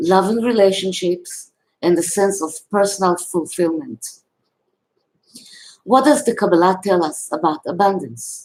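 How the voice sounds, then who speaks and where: Delivered at a fairly slow pace, the speech has lively intonation and a non-native accent. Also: woman. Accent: foreign. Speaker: spiritual teacher. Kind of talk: reading aloud. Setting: live video. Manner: reading from a script.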